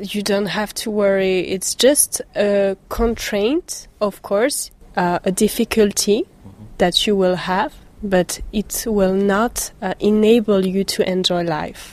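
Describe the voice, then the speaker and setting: A woman speaks at a very slow pace with fairly even intonation. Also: medium pitch for a woman. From France, Paris suburbs. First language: French (speaking German). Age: 20s. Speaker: blogger. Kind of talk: interview.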